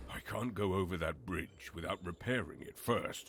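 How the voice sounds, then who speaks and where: A man does a put-on character voice that is raspy and very deep, low in pitch, at a moderate pace. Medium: video game. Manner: plain, self-talking.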